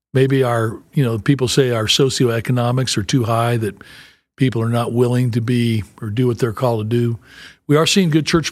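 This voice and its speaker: A man with an American accent uses a plain, everyday voice with ordinary pitch variation, captured in a very clean recording with a silent background. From US South, Memphis, Tennessee. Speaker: pastor and church planter. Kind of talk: interview. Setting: on site at a conference.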